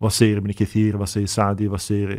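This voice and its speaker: Fairly low in pitch, the man's voice moves along at a fairly quick pace. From Sweden, Uppsala (Gottsunda). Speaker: imam and Islamic teacher. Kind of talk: casual interview.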